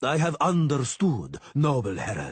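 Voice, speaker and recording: A man puts on a character voice. It sits at a fairly high pitch. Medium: read story. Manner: formal, courteous.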